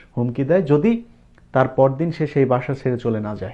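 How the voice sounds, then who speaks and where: A man speaks with ordinary pitch variation. His is an unremarkable speaking voice. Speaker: political commentator, former TV journalist. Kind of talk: political commentary monologue.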